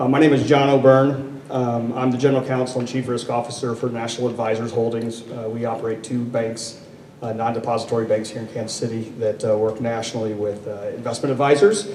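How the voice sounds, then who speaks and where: Audible room echo and noticeable background noise surround a man speaking at a very fast pace. His medium pitch carries a monotone, flat intonation. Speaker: corporate lawyer and risk officer on a panel. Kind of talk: panel discussion. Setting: stage with audience, microphone. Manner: loud; halting, many fillers.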